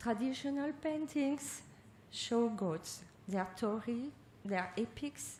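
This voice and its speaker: A woman's fairly high voice in a French accent, very slow in pace with lively intonation. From France. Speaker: art researcher. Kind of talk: lecture.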